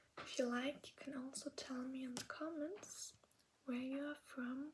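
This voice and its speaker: A woman speaks in a German accent at a high pitch. Her intonation stays fairly even. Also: fairly slow pace. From Germany. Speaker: ASMR creator. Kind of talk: ASMR language lesson. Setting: in bed at night. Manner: soft-spoken, whispery.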